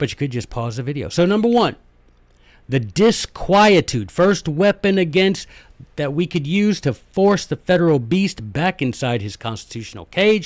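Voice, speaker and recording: A man with an American accent speaks at a fairly high pitch. His pitch swings very widely. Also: very clean recording, silent background. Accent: southern US, comes out when speaking slowly. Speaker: history and constitution podcast host. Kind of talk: podcast monologue lecture. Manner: animated.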